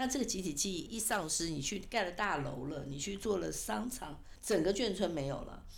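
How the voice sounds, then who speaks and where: A woman of medium pitch speaks at a moderate pace with very wide pitch swings and hardly any pauses, her voice carrying audible room echo. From Taiwan, Kaohsiung military village. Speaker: author and PR consultant. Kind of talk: interview.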